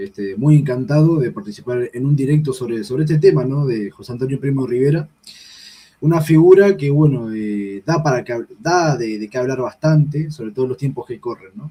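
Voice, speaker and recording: The speaker has a Uruguayan accent and talks at a fairly quick pace. Pitch variation is ordinary, while loudness swings widely. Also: man, medium pitch for a man. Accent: Rioplatense Spanish (Uruguayan). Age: 20s. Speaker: political activist. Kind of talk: political discussion on a livestream. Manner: hesitant, many fillers.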